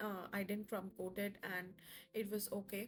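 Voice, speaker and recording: Music plays in the background. A woman with a fairly high pitch talks at a moderate pace. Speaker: home cooking video creator. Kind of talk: voiceover tutorial. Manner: casual, with fillers.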